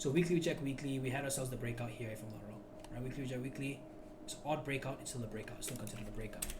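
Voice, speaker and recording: The voice is loud and moves at a very fast pace. Noticeable background noise runs underneath. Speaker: trading educator. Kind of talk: tutorial. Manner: animated.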